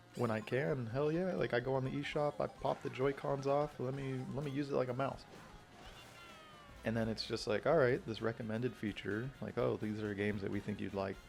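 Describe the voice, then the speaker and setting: Music plays behind a man who talks fairly quickly at a medium pitch with ordinary pitch variation. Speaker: gaming youtuber. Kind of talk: casual chat. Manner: whispering; rambling, hesitant.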